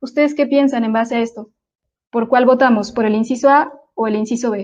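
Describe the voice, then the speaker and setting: A woman speaks in a high voice with fairly even intonation. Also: fairly quick pace. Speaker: drone photogrammetry instructor. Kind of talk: online lecture. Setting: live online webinar. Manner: fast.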